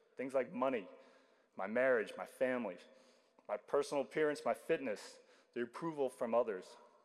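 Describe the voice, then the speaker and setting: A man speaking at a fairly quick pace. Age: 50s. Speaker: baptism candidate. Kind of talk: testimony. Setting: church.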